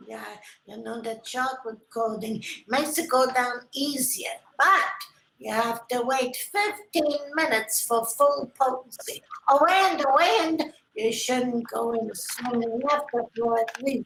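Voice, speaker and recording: A woman puts on a character voice, high-pitched and fairly slow with lively intonation. Her loudness swings widely, and a slight echo is audible. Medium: stage play. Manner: shrill, scolding.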